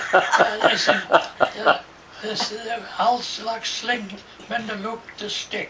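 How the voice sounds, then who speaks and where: Very slowly and in a flat monotone, a man speaks at a high pitch against noticeable background noise. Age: 80s+. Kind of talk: oral history interview. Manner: halting, rambling.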